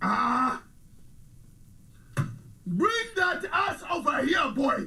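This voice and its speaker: A man puts on a character voice, raised and projected at an extremely high pitch. He speaks at a very slow pace against clear background noise. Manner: gruff, commanding.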